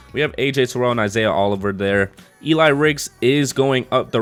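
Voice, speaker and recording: Fairly quick speech from a man, ordinary in pitch variation, with music in the background. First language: not English. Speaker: gaming YouTuber. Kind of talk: gameplay commentary. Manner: casual, thinking aloud.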